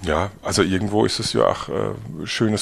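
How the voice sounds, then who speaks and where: Pitch varies in an ordinary way in what is a normal speaking voice. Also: man. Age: young. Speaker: winemaker. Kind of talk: casual interview.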